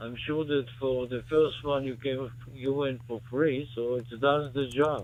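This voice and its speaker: A man with a medium pitch talks in a flat, monotone way at a fairly slow pace. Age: 80s+. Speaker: ham radio operator. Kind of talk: casual chat. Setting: radio contact. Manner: formal.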